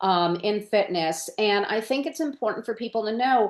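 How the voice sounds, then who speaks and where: Over a quiet background, a woman with a fairly high pitch talks at a moderate pace in an unremarkable speaking voice, her intonation lively. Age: 60s. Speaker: podcast host and occupational therapist. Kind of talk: interview podcast.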